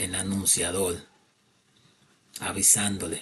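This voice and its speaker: In a monotone, flat delivery, a man speaks very slowly with a somewhat breathy, fairly low voice. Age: 60s. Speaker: bible teacher. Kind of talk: bible teaching monologue. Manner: halting.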